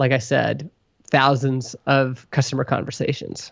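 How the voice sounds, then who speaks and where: A man has a normal speaking voice at a fairly high pitch. His pace is fairly slow. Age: 30s. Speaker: software company co-founder. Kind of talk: interview conversation.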